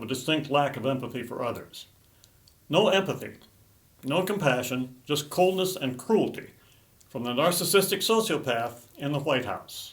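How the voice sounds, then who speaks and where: A somewhat breathy man's voice at a fairly high pitch and moderate pace, with lively intonation and audible room echo. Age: 80s+. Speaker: political commentator. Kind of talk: political commentary monologue.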